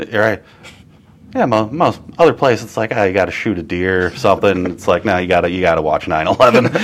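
A man's very deep, low voice in an American accent, at a fairly quick pace. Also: ordinary pitch variation. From Wisconsin, Kenosha. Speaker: comedian and comedy show producer. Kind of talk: casual chat. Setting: live-streamed interview.

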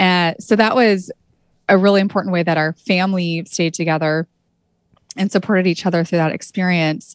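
Speaking with a West Coast accent, a woman talks at a fairly quick pace with medium pitch and fairly even intonation in a dry, close sound with no echo. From California, Santa Cruz. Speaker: arts-in-healthcare nonprofit founder. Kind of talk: interview.

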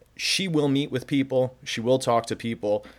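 The speaker has a plain, everyday voice at a moderate pace. The pitch varies in an ordinary way. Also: man. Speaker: podcast host. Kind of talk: interview.

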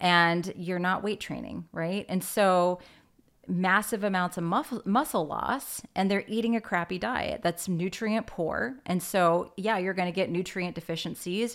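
A plain, everyday voice from a woman, medium in pitch, with ordinary pitch variation and a fairly slow pace. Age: 40s. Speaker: podcast host. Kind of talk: casual interview. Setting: video call.

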